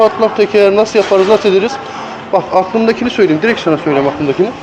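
A man talks with lively intonation. Music can be heard behind him. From Tokat, Turkey. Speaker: international truck driver. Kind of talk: casual vlog talk to camera. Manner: informal, slangy, chatty.

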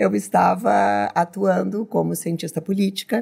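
The tone is dark and mellow, with very wide pitch swings. The pace is fairly slow against a quiet background. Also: woman. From southern Brazil, Rio Grande do Sul. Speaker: business leader, political scientist; podcast guest. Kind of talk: interview. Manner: hesitant, many fillers. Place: studio. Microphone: studio mic.

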